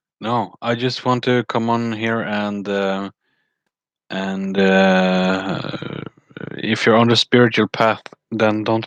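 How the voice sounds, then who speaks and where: Very slow speech with monotone, flat intonation is heard in a dry, close sound without echo. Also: man. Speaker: spiritual vlogger. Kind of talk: casual monologue on spirituality. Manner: halting, many fillers.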